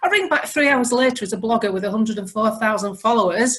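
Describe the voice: Someone talks at a fast pace with lively intonation and a fairly bright tone. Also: woman, fairly high pitch for a woman.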